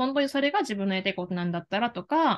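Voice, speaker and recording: Her intonation lively, a woman speaks at a very fast pace. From Japan, Kagawa (Shodoshima island); Japan. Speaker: life career coach; career coach interviewee. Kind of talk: interview. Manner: hesitant, many fillers. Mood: earnest, warm. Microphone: video call.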